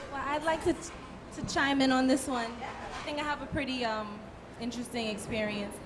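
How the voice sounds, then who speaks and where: Speaking with an American accent, a woman has a high pitch and a moderate pace. Room echo is audible, and background noise is noticeable. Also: ordinary pitch variation. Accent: sounds very American. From Brooklyn, New York. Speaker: soca artiste. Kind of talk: panel discussion.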